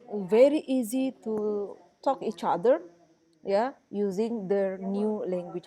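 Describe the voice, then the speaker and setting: A woman's fairly high, lively voice in a West Sumatran accent, very slow, with noticeable background noise. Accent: Indonesian (Minangkabau). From Indonesia, West Sumatra (Padang, Minangkabau). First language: Minangkabau. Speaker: university lecturer. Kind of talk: lecture. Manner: halting, with many fillers.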